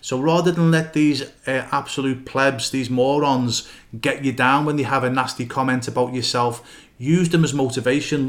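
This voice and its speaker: A man talks at a moderate pace with fairly even intonation in a plain, everyday voice. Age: 50s. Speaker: goalkeeping coach and academy founder. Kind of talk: solo podcast monologue. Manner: casual with frequent fillers.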